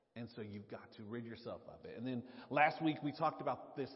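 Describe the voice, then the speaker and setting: A man talks with a Southern US accent and lively intonation. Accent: Southern drawl. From US South. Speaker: pastor. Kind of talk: sermon. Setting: church.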